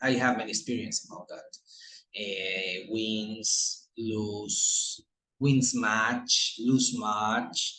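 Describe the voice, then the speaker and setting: A man speaks at a very slow pace with a Colombian accent. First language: Spanish. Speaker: English student. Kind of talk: class presentation. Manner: halting.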